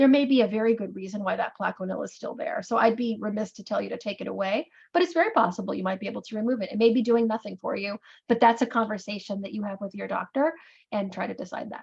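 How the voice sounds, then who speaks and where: A woman's somewhat breathy voice, fairly high in pitch, goes at a very fast pace. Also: ordinary pitch variation, big swings in loudness. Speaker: neurologist answering patient questions. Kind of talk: Q&A webinar.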